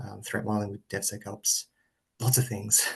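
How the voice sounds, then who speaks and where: A man speaks with a fairly low pitch. His voice is somewhat breathy, with fairly even intonation. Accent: Australian. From Australia. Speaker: government security specialist. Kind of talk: self-introduction. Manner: fast.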